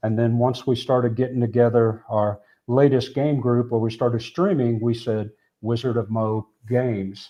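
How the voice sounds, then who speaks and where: Using a plain, everyday voice, a man speaks at a moderate pace in a medium pitch with fairly even intonation. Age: 60s. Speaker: board game streamer. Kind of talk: casual chat.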